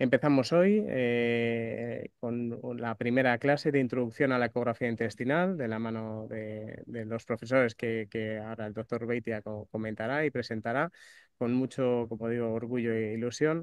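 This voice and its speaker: A man talks at a moderate pace and medium pitch, with hardly any pauses and fairly even intonation. The sound is dry and close with no echo, over a quiet background. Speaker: doctor, course coordinator. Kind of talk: opening address. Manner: halting, many fillers.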